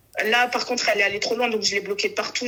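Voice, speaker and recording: Over noticeable background noise, a woman with a northern French accent talks in a fairly high pitch with monotone, flat intonation. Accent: northern French (ch'ti). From Morocco. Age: 20s. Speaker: caller. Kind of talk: casual chat. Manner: fast.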